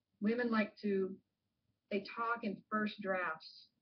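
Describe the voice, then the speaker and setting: Somewhat breathy and medium in pitch, a woman speaks with fairly even intonation. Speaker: professor. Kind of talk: lecture.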